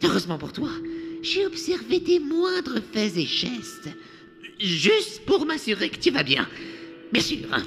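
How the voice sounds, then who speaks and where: A put-on character voice with long, frequent pauses and clear music in the background. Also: fairly slow pace. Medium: fan dub. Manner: nervous, hesitant.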